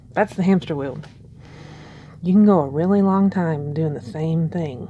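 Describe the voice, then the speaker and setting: Dark and mellow in tone, a woman speaks at a fairly low pitch with ordinary pitch variation. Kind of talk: ASMR soft spoken share, casual talk to camera. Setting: quiet early morning, home recording. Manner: soft-spoken, slow, hesitant.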